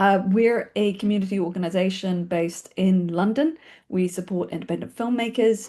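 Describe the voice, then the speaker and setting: The voice has a New Zealand accent, a dark, mellow tone and ordinary pitch variation against a quiet background. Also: woman, medium pitch for a woman. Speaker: filmmaking organisation founder and webinar host. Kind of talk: webinar introduction. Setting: video call webinar. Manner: fast; casual, with fillers.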